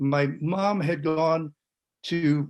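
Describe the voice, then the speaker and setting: With a Californian accent, a man speaks at a fairly high pitch using fairly even intonation. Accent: General American, Californian. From US West Coast, San Francisco Bay Area. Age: 70s. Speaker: panelist. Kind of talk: testimony. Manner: halting.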